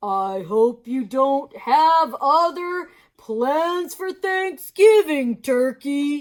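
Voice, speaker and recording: A woman's put-on character voice, high and very slow, with very wide pitch swings. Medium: read story. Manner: warm, hearty.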